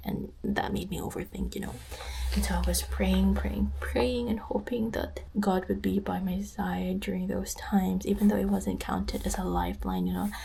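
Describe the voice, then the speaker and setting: A woman talks at a moderate pace while noticeable background noise is present. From Philippines, Dumaguete City. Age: 20s. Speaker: trainee cabin crew member. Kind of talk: casual sit-down talk to camera.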